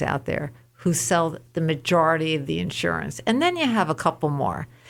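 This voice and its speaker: On a very clean recording with a silent background, a woman with a very deep, low voice and vocal fry speaks at a moderate pace with lively intonation. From New York State. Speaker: insurance claims advocate. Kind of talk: radio interview.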